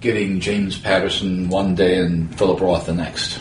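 Noticeable background noise sits behind a man whose very deep, low voice moves at a moderate pace. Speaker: podcast host. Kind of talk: casual interview.

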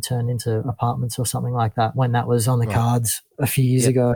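With an Australian accent, a man speaks in a somewhat breathy voice, the sound dry and close with no echo. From northern New South Wales, Australia. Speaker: bass player. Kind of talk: casual interview. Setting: remote call. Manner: laid-back.

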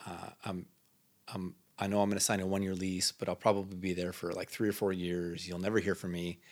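Very deep and low, a man's voice runs at a very fast pace with flat, monotone intonation and an Upper Midwest accent, on a very clean recording with a silent background. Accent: Upper Midwest (Minnesota). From northern Minnesota, Iron Range; later Minneapolis-Saint Paul. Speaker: local missionary. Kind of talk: casual chat.

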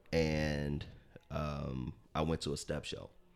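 A man's very deep, low-pitched voice. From US Midwest, south side of Chicago. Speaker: entrepreneur. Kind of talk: interview.

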